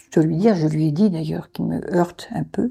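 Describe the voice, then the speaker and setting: Vocal fry runs through a woman's fairly low-pitched voice, which has a dark, mellow tone. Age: 70s. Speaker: foster mother. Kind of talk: testimony. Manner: halting.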